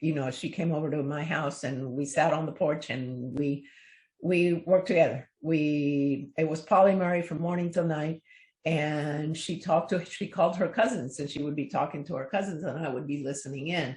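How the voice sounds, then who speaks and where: A woman's very deep, low voice, somewhat breathy, with ordinary pitch variation and a moderate pace, over a quiet background. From Cuba. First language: Spanish. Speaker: children's book author. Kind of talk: interview.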